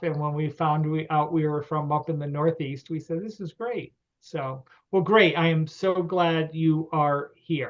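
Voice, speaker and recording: The man's voice is fairly high in pitch. He talks at a fairly slow pace with fairly even intonation. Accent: Connecticut. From Connecticut. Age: 60s. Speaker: grange lecturer and event host. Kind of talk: online meeting hosting. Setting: video call. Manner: hesitant, many fillers.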